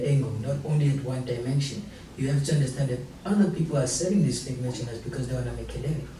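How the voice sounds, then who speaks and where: A fairly high-pitched male voice at a very fast pace, ordinary pitch variation, audible room echo and noticeable background noise. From South Africa, Durban. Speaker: young entrepreneur. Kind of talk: talk show interview.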